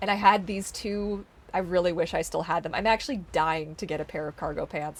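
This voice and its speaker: A Canadian accent on a very clean recording with a silent background. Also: woman. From British Columbia, Canada. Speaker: streamer. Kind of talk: casual chat. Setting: live stream. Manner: halting. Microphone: may sound quiet in replays.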